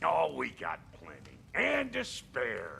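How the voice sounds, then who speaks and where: Against clear background noise, a man uses a put-on character voice that is raspy and delivered at a very slow pace. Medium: video game. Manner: brash, clipped.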